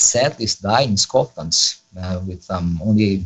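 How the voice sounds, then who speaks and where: A man speaks very slowly in a Brazilian Portuguese accent. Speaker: Latin student and polyglot. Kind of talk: interview. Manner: hesitant, many fillers.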